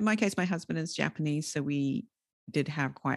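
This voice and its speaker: In a New Zealand accent, a woman talks at a moderate pace with ordinary pitch variation. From New Zealand, rural area. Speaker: podcast host and entrepreneur. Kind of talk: interview conversation.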